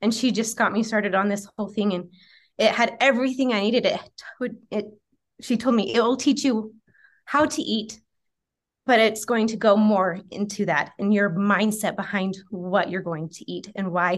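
A woman speaks at a moderate pace in a plain, everyday voice. Her pitch sits fairly high and varies in an ordinary way. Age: 30s. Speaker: nutrition coaching client and certified health coach. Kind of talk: casual interview.

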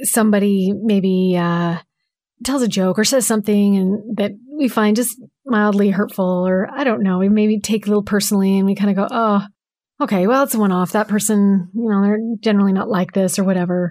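Soft-spoken and fairly quick, a woman of medium pitch has a dark, mellow tone, fairly even intonation and very even loudness on a very clean recording with a silent background. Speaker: podcast co-host, guest.

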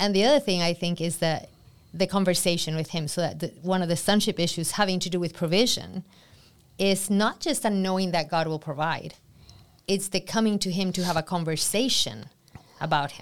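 An unremarkable speaking voice, this woman talks at a fairly quick pace with fairly low pitch and ordinary pitch variation on a very clean recording with a silent background. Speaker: co-host and discussion moderator. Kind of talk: casual group discussion.

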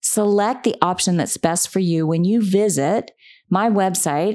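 This woman has a normal speaking voice at a medium pitch with ordinary pitch variation, recorded very cleanly against a silent background. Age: 50s. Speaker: podcast host, communications consultant. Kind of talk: solo podcast talk.

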